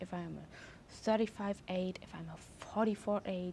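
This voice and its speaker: A woman talks with ordinary pitch variation and a somewhat breathy voice. Light background noise is audible. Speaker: numerology teacher. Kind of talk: tutorial. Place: garden. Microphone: lapel.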